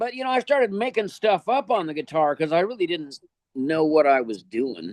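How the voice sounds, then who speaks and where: The recording is dry and close with no echo. A man speaks at a moderate pace, fairly high-pitched, with very wide pitch swings. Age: 70s. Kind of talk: interview conversation. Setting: podcast interview. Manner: halting, many fillers.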